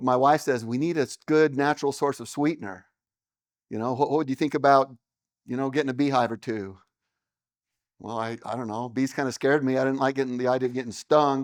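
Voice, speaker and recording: Against a quiet background, a man with an American accent and a medium pitch talks at a very fast pace with fairly even intonation and long, frequent pauses. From Utah. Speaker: beekeeper and business owner. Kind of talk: seminar talk. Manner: loud.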